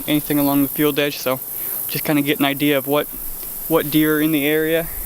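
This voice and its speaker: Through noticeable background noise, a man with a fairly high pitch speaks in a monotone, flat intonation. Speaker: deer hunter. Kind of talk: hunting vlog narration. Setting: outdoors in a tree stand.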